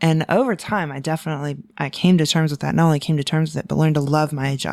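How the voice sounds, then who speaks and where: A woman with an American accent speaks in a very deep, low pitch with fairly even intonation, recorded very cleanly against a silent background. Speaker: podcast co-host. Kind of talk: casual chat. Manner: halting.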